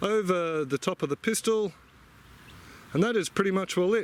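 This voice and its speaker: With an Australian accent, a man talks in a relaxed tone at a high pitch. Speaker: gardening vlogger. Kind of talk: tutorial. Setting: outdoors in garden. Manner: casual, relaxed.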